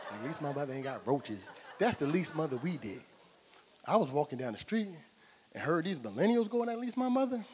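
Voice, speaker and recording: Over light background noise, a man talks at a fairly quick pace with very wide pitch swings and long, frequent pauses. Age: 40s. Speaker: stand-up comedian. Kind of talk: stand-up. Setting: stage with audience. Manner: animated. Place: stage. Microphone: handheld.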